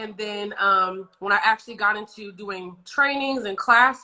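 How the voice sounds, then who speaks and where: A woman's unremarkable speaking voice at medium pitch with ordinary pitch variation. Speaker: nail technician and instructor. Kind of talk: interview.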